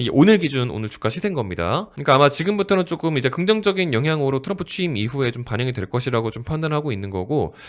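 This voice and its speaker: A man races along at a very fast pace, his fairly high voice making very wide pitch swings. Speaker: stock market YouTuber. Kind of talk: market commentary. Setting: recording at a microphone. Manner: conversational, filler-heavy.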